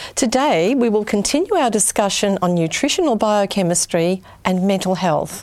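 A woman's normal speaking voice at medium pitch, moderate pace and lively intonation. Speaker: TV health show host. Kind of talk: interview. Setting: studio.

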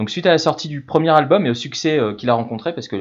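Fairly quick delivery in a normal speaking voice, pitch varying in an ordinary way. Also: man. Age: 40s. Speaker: radio music columnist. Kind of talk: casual radio chronicle. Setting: remote from Madrid.

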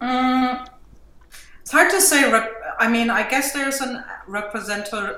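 A woman with a German accent and a high voice speaks at a fairly slow pace with long, frequent pauses, ordinary pitch variation and big swings in loudness, while music plays in the background. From Germany. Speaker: mixed media artist and teacher. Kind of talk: casual interview chat.

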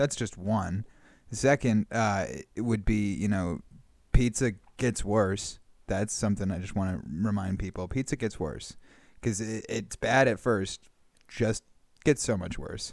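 A man speaks at a fairly slow pace with a fairly low pitch and ordinary pitch variation. He has a West Coast American accent and takes long, frequent pauses. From Northern California. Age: 20s. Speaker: improv comedian. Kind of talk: casual chat.

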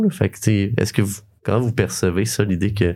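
A man uses a normal speaking voice with a fairly low pitch and ordinary pitch variation. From Quebec, Sherbrooke region. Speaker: podcast host. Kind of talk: casual interview. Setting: studio.

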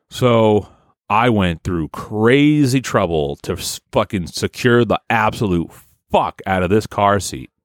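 A man's fairly low voice at a very slow pace, lively intonation, on a very clean recording with a silent background. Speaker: podcast host. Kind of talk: casual, profane.

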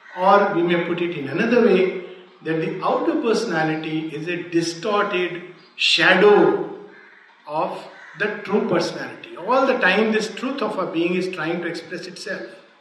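A man's high-pitched voice at a moderate pace with ordinary pitch variation, plus audible room echo and noticeable background noise. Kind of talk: lecture.

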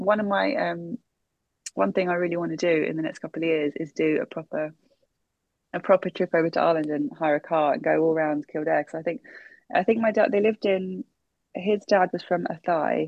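In a London accent, a woman speaks at a fairly low pitch with lively intonation. Her speech has long, frequent pauses. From London, Brent area (London Irish family). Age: 30s. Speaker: artist. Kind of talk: interview. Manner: halting, many fillers.

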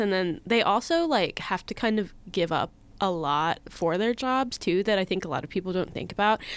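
A normal speaking voice at a moderate pace with lively intonation, on a very clean recording with a silent background. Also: woman. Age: 20s. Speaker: podcast guest, baseball fan. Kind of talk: casual chat.

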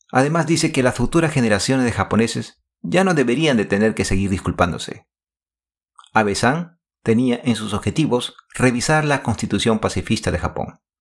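At a moderate pace and medium pitch, a man uses a plain, everyday voice with lively intonation on a very clean recording with a silent background. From Peru, Lima. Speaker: podcast host. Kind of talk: scripted narration.

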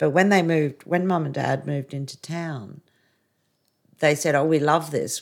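Someone with an Australian accent speaks at a moderate pace on a very clean recording with a silent background. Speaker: caregiver daughter. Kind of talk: casual interview.

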